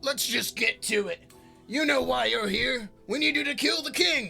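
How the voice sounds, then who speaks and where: Over faint music in the background, a man in a put-on character voice projects loudly at an extremely high pitch, raspy and at a moderate pace. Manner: curt, menacing.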